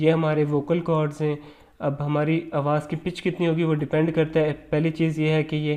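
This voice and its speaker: Against a quiet background, a man with a fairly high pitch and a dark, mellow tone speaks at a moderate pace. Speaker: lecturer. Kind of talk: lecture.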